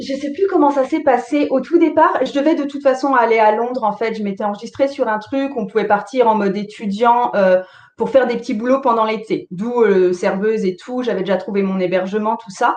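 In an ordinary speaking voice, a woman talks at a fairly quick pace with a fairly high pitch and lively intonation. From Alsace, France. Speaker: tarot teacher and online entrepreneur. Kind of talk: interview.

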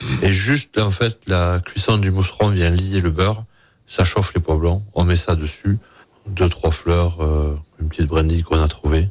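A man's very deep, low, somewhat breathy voice at a fairly slow pace and very even loudness. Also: ordinary pitch variation. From Hautes-Pyrénées, southwest France. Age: 40s. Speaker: chef. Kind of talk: radio interview.

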